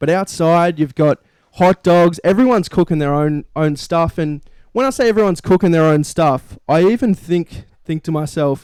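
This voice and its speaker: In a very clean recording with a silent background and a dry, close sound with no echo, a high-pitched man with an Australian accent talks at a moderate pace with ordinary pitch variation. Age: young. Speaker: sports podcast co-host. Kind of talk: casual chat.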